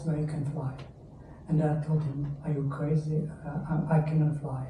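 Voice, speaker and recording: Amid audible room echo, a man talks in a flat monotone at a fairly high pitch. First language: not English. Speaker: stroke patient. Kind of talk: testimony. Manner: halting.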